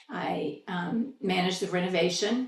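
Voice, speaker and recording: With an American accent, a woman speaks at a fairly low pitch with ordinary pitch variation amid noticeable background noise. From Indiana, US Midwest. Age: 60s. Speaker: local theater manager. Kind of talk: oral history interview.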